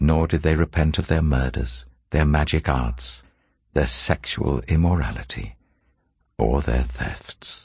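Using vocal fry, a man speaks at a fairly slow pace in a very deep, low voice with ordinary pitch variation. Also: very even loudness. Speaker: scripture reader. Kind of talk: scripture reading, steady and solemn. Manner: even, measured, reverent.

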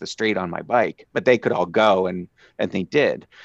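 A man with an American accent talks at a moderate pace with ordinary pitch variation, in an unremarkable speaking voice. The sound is dry and close with no echo, against a quiet background. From Southeast Pennsylvania (Philadelphia suburbs). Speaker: evolutionary biologist. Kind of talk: interview.

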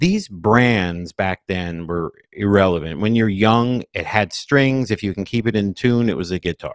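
A man with a normal speaking voice and fairly low pitch talks at a fairly slow pace with ordinary pitch variation, dry and close with no echo, on a very clean recording with a silent background. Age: 50s. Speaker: music producer and podcast host. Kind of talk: casual chat.

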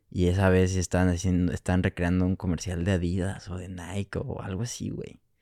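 Very deep and low, a man's voice carries a dark, mellow tone and a Mexican accent, moving at a fairly quick pace with hardly any pauses and fairly even intonation. The sound is dry and close with no echo, on a very clean recording with a silent background. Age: 20s. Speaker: film student. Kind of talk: casual chat.

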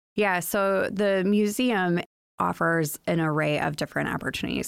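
The woman speaks with an American accent. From US Midwest, Chicago area. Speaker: museum executive director. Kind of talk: casual interview.

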